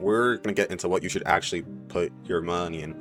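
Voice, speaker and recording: A man talks with ordinary pitch variation as music plays in the background. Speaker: student. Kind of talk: casual explainer talk to camera. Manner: casual, conversational.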